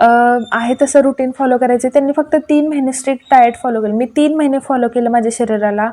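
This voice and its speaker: Her pitch is high, and the woman keeps a fairly even intonation. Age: 30s. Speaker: YouTube cooking and diet vlogger. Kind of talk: casual vlog reading out viewer comments.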